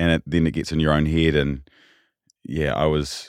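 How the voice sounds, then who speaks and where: In a New Zealand accent, the speaker keeps a monotone, flat intonation at a moderate pace on a very clean recording with a silent background. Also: man. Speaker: political reporter. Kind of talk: casual interview chat.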